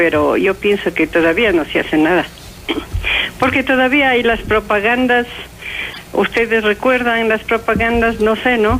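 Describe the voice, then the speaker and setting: Over noticeable background noise, a woman with a fairly high pitch speaks at a fairly slow pace, keeping her loudness very even, her pitch variation ordinary and her pauses long and frequent. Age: 60s. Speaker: caller. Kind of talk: radio call-in. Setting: phone call.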